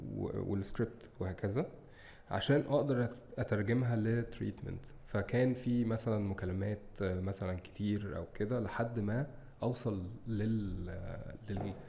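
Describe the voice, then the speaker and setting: Somewhat breathy, a man speaks at a fairly low pitch in a dark, mellow tone with fairly even intonation. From Egypt. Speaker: advertising creative and director; podcast guest. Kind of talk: interview. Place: studio. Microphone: studio mic.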